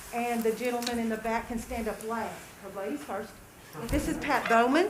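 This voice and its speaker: A woman speaks at a fairly high pitch and moderate pace with ordinary pitch variation. Audible room echo and noticeable background noise fill the recording. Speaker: nonprofit volunteer presenter. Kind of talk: public presentation to county board. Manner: loud.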